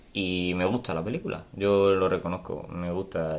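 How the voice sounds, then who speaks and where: A man speaks with a very deep, low pitch. His intonation is monotone and flat, and his pace is fairly slow. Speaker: film podcast co-host. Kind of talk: casual chat.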